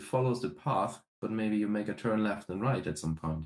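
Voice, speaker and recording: A man speaks with a slight German accent. His pitch is fairly low and his intonation lively. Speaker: metal band musician. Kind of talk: interview. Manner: hesitant, many fillers.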